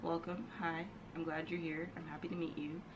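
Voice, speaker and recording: A woman with an American accent and a very deep, low pitch talks very fast, with audible room echo and noticeable background noise. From New York. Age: 20s. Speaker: vlogger. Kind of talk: casual personal monologue to camera.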